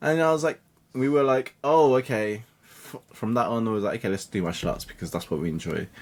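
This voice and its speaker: A man speaks with a British accent at a medium pitch. His intonation is lively and his pace fairly quick. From England, UK. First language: Cantonese. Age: 30s. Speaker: digital marketing coach. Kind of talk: podcast interview. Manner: halting.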